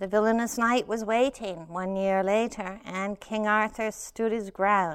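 The delivery is plain reading aloud. The intonation stays fairly even.

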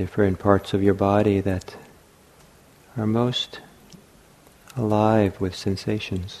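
Amid noticeable background noise, a man speaks in a calm tone at a very slow pace, his fairly low voice monotone and flat, with long, frequent pauses. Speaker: meditation teacher. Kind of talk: guided meditation. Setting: meditation hall at a retreat center. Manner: slow, soft-spoken, calm and unhurried with long pauses; gentle, soothing, inviting.

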